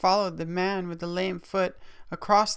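The words are read aloud. The reading is plain.

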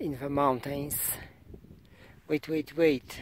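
A man speaks with a fairly high pitch and fairly even intonation. The sound is dry with no echo, and there is light background noise. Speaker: hiker filming. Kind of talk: casual talk to camera. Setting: outdoors. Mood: wry joking. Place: open country. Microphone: phone near.

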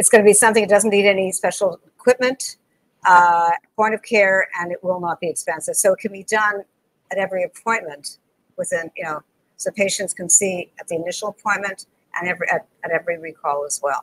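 A woman with an ordinary speaking voice talks at a fairly quick pace in a medium pitch, her pitch variation ordinary but her loudness swinging widely. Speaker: dentist and lecturer; lecturer. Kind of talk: interview conversation. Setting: video call. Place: home room. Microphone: video call.

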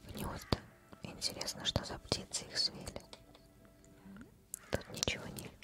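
A woman whispers with long, frequent pauses and big swings in loudness while faint music plays in the background. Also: fairly slow pace. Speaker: ASMR gaming streamer. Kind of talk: gameplay commentary, playing a game. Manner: whispered, soft close-mic. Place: home room. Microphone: studio mic.

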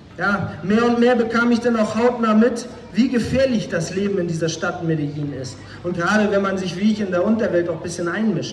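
A man with a high pitch and ordinary pitch variation at a moderate pace, with light background noise and audible room echo. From northern Germany, Flensburg. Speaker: former drug dealer, evangelist. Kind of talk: testimony. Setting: outdoors, street evangelism. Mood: earnest, serious. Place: stage.

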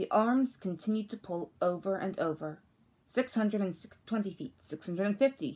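The voice reads aloud in an unforced way. Pitch rises and falls to an ordinary degree.

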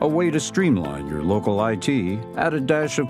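With music playing in the background, a man with an American accent speaks with very wide pitch swings. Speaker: voice actor. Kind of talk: corporate explainer read.

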